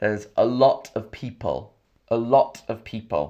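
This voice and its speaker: Very slowly and at a medium pitch, a man with a London accent speaks with ordinary pitch variation in a very clean recording with a silent background. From England; Camden, London. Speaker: English teacher. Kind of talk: live stream English lesson. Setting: live stream with chat. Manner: clear, repetitive.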